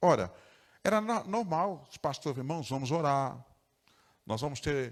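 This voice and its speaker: The recording is very clean with a silent background. A man speaks at a fairly high pitch. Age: 60s. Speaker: pastor. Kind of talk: sermon. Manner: animated.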